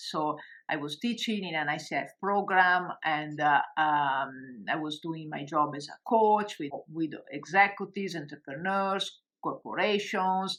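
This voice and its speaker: The speaker has an Italian accent and a fairly slow pace, with ordinary pitch variation. Loudness swings widely over a quiet background. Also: woman, fairly low pitch for a woman. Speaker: coach and online course creator. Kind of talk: webinar presentation. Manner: hesitant, many fillers.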